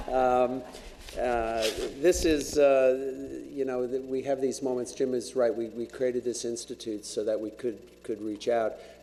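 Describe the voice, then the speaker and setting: At a fairly slow pace, a man speaks with medium pitch. His intonation is monotone and flat. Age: 60s. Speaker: college president introducing speaker. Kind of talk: speaker introduction at public forum. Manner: halting, many fillers and repetitions.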